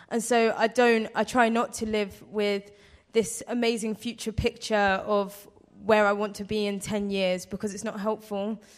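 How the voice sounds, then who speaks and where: A woman with a fairly high pitch talks at a moderate pace in a flat, monotone way. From London. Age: 20s. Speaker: school data officer. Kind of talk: panel interview.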